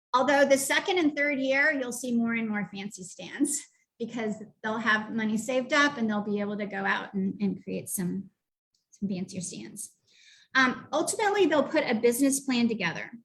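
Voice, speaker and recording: Her voice is a normal speaking voice with a fairly high pitch. The woman talks at a moderate pace. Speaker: youth entrepreneurship program director. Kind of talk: presentation. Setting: live online webinar.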